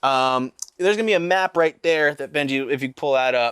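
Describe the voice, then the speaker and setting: A fairly high-pitched man in a New Jersey accent at a moderate pace, with a dry, close sound with no echo and a very clean recording against a silent background. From central New Jersey, US. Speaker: podcast co-host. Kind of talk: casual comedic chat.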